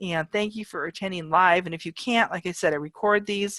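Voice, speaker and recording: A woman uses a normal speaking voice at a medium pitch, with ordinary pitch variation and a moderate pace. The sound is dry and close, with no echo. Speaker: online college professor. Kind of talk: lecture. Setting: video call.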